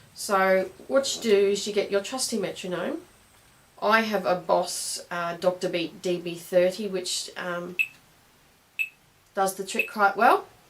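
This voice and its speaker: Over noticeable background noise, someone with an Australian accent speaks at a fairly slow pace with long, frequent pauses and ordinary pitch variation. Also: woman, medium pitch for a woman. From Australia, Brisbane. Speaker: clarinet teacher. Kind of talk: tutorial. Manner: hesitant, many fillers.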